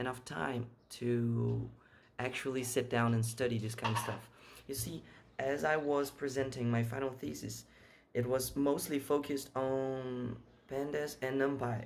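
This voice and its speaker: With audible room echo, a man speaks at a medium pitch and a fairly slow pace, with ordinary pitch variation. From Brazil. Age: 20s. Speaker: software engineer. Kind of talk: interview answers. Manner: halting, repeats words.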